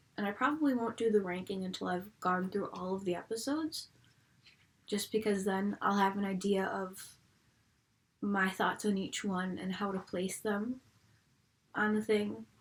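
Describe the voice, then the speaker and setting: A somewhat breathy woman's voice with an American accent, at a medium pitch with ordinary pitch variation and long, frequent pauses. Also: moderate pace. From US, Buffalo, New York. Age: 20s. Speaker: fan video reviewer. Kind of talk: casual vlog. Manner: casual, chatty.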